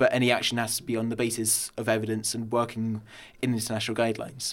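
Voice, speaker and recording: A man talks at a very fast pace. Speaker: young party member on political panel. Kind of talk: panel discussion. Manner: hesitant, many fillers.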